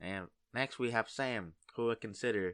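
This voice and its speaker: A man speaks with a Vietnamese accent in a bright, sharp tone. The background is quiet. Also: dry, close sound with no echo. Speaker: gamer and video maker. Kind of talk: casual commentary. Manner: halting.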